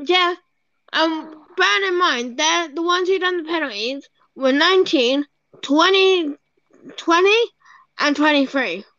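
Speaking very slowly with long, frequent pauses, a woman uses an extremely high pitch, a raised, projected voice and lively intonation. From UK. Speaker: podcast co-host. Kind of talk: casual chat. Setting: remote recording.

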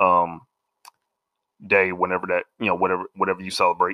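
A man speaks in a very deep, low pitch. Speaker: movie reviewer. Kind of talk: casual rant. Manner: halting, many fillers.

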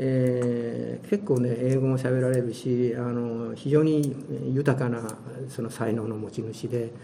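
A man of medium pitch speaks at a very slow pace. Audible room echo surrounds his voice. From Hiroshima, Japan. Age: 70s. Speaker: retired volunteer tour guide. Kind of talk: interview.

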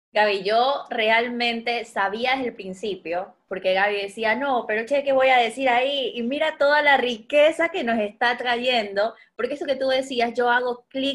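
A woman speaks at a high pitch and a moderate pace, with ordinary pitch variation. She hardly pauses at all. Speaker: podcast host, educator and life coach. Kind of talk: casual chat.

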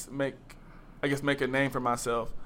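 Speaking with an American accent, a man has a fairly high pitch and a bright, sharp tone. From North Carolina, Greensboro. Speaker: college student. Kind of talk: casual interview.

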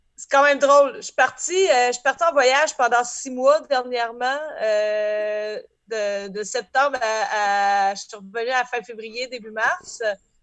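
Fairly slow and high-pitched, a woman's speech shows ordinary pitch variation and big swings in loudness. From Beauce, Quebec. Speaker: band singer and accordionist. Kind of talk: casual chat.

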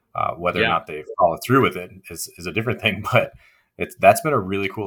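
Very fast in pace, a man speaks in an American accent. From Virginia, Shenandoah Valley (Staunton). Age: 30s. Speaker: environmental nonprofit founder. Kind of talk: casual interview. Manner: hesitant, many fillers.

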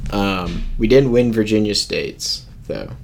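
With an American accent, a man talks while noticeable background noise is heard. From US, Washington D.C. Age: 20s. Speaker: college student, ultimate frisbee player. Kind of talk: casual chat.

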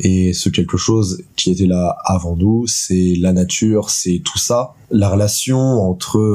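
The voice keeps a very even loudness at a very slow pace, with noticeable background noise behind it. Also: man, fairly low pitch for a man, ordinary pitch variation. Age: 20s. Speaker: student and sound performer. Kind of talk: interview. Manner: hesitant, many fillers.

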